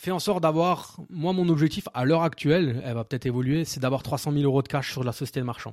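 Pitched fairly high, a man talks at a very fast pace. He leaves hardly any pauses and uses ordinary pitch variation. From Alsace, France. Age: 30s. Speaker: nurse and property investor. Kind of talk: interview. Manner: casual, hesitant with fillers.

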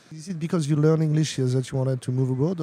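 The speaker has a French accent and fairly even intonation. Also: man. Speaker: interviewer. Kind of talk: interview. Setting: tech conference.

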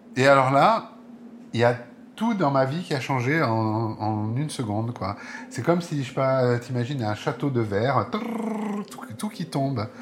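With noticeable background noise behind him, a man speaks at a fairly slow pace while his pitch swings very widely. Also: medium pitch for a man. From southern France (Marseille, Aix-en-Provence, Nice). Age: 50s. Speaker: interviewee telling his life story. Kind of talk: personal testimony. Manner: halting, many hesitations.

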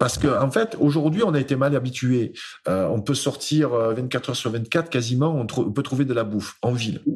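A man with a somewhat breathy voice speaks at a moderate pace in a medium pitch with ordinary pitch variation. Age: 50s. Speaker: speaker and author. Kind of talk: casual interview.

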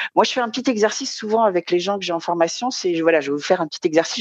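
A woman speaks at a medium pitch, her voice sounding dry and close with no echo. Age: 50s. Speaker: association president and trainer. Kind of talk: interview.

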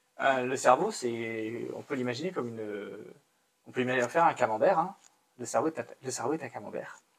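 This man has an ordinary speaking voice at medium pitch. He moves at a fairly quick pace with ordinary pitch variation. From central France (Moulins, Allier, Auvergne). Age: 30s. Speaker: children's book publisher. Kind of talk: casual interview. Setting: livestream on camera.

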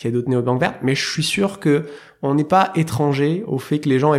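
Over a silent background in a very clean recording, a man talks fairly quickly with ordinary pitch variation. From southern France, near Marseille. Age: 30s. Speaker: startup founder and CEO. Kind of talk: interview conversation. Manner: hesitant, many fillers.

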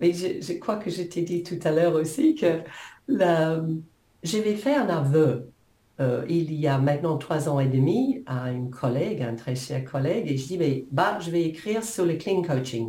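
A woman with an English accent speaks at a fairly slow pace and a fairly low pitch. Her intonation is lively, and there is audible room echo. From New Zealand. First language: English (speaking French). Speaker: coach and author. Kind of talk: interview.

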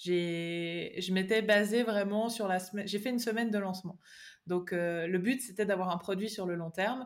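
Speaking with a slight Swiss French accent, a woman talks at a moderate pace and medium pitch with fairly even intonation, in a very clean recording with a silent background. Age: 20s. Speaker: online course creator. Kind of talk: interview.

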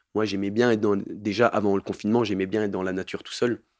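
At a fairly quick pace, a man speaks in a fairly low pitch with fairly even intonation. The sound is dry and close with no echo, on a very clean recording with a silent background. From southern France, Montpellier. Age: 20s. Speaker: farm educator and youth activity leader. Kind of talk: interview testimony. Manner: halting.

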